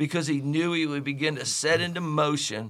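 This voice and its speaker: A man with an unremarkable speaking voice talks at a fairly quick pace with a fairly high pitch. The recording is very clean, with a silent background. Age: 60s. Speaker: pastor. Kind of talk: devotional Bible teaching. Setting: studio.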